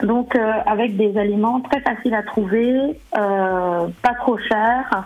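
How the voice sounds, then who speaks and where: This woman's voice sits fairly high. Its pitch moves in an ordinary way. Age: 40s. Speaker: sophrologist and cooking blogger. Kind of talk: radio interview. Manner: hesitant, many fillers.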